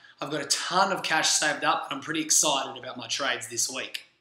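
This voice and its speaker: There's noticeable background noise and audible room echo around this man. He talks fairly quickly at a fairly high pitch with ordinary pitch variation. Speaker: sports podcast host. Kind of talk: casual vlog commentary. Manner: casual, energetic.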